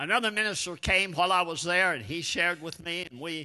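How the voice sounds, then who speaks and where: This man's voice sits high in pitch. It has a bright, sharp tone. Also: quiet background. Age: 80s+. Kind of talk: sermon. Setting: church.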